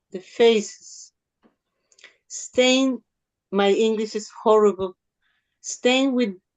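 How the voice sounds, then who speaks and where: A woman with a fairly high pitch speaks with fairly even intonation, in a dry, close sound with no echo and music in the background. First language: Spanish. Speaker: surrealist poet. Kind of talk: poetry reading. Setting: video call. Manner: halting.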